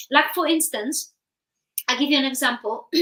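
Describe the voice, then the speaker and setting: A woman projects a raised voice, high-pitched with a bright, sharp tone and lively intonation, at a moderate pace. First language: Polish. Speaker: therapist and author. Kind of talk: interview.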